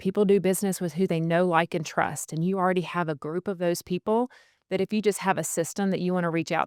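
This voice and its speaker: In a very clean recording with a silent background and a dry, close sound with no echo, a woman talks very fast at medium pitch. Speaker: real estate sales coach. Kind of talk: talking-head advice video. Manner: stutters and pauses often; conversational.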